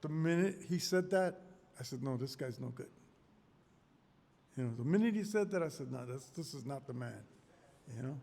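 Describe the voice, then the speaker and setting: A man with a fairly high pitch speaks at a moderate pace with lively intonation, a somewhat breathy, dark, mellow tone, and long, frequent pauses. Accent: American. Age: 60s. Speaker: street interviewee, voter. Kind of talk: casual street interview. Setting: community center.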